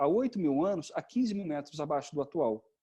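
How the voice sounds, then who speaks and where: Against a quiet background, a man speaks with lively intonation. His tone is dark and mellow, and his pitch is fairly high. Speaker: geology lecturer. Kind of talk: online lecture. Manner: fast.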